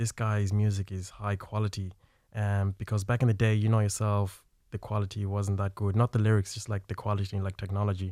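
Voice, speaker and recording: Very clean, with a silent background, the recording features a man with an Irish accent speaking at a fairly quick pace, with a fairly low pitch and monotone, flat intonation. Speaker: filmmaker. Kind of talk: radio interview. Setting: studio.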